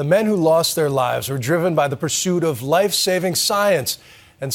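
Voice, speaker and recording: His pitch varies in an ordinary way. The man is somewhat breathy and keeps a moderate tempo. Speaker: news anchor. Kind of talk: news presentation. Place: studio.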